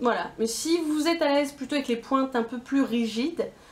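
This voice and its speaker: Her voice is high. Noticeable background noise sits behind the woman speaking. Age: 20s. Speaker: beauty YouTuber. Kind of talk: casual talk to camera.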